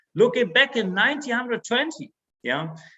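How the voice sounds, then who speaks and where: A man projects a raised voice in a German accent, pitched high for a man. He talks at a moderate pace with lively intonation. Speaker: network marketing sales director. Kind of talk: stage speech. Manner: halting.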